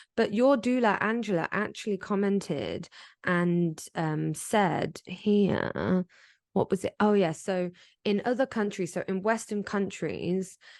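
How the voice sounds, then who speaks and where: In an English accent, a woman of medium pitch speaks at a fairly slow pace with ordinary pitch variation, the sound dry and close with no echo against a quiet background. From England. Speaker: podcast co-host. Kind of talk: casual chat.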